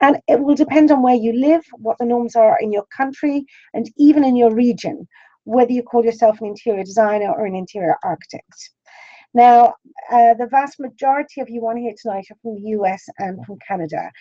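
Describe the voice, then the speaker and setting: A woman with an Irish accent speaks at a fairly quick pace in a high pitch, her dark, mellow tone carried by lively intonation and big swings in loudness, in a dry, close sound with no echo. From Ireland. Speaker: interior design school principal. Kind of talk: lecture. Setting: webinar.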